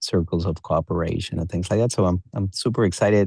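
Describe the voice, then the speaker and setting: Here is a man with a Spanish accent. His pitch is very deep and low, his tone dark and mellow. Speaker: business development consultant. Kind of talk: group coaching session. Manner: halting, with repetitions.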